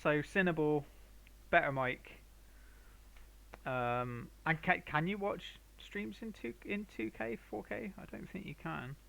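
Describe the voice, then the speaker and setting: A man's fairly high voice at a very slow pace, with big swings in loudness, very wide pitch swings and long, frequent pauses. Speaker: painter streaming live. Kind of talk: casual chat with live stream viewers. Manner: halting. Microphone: viewers suggest a better mic.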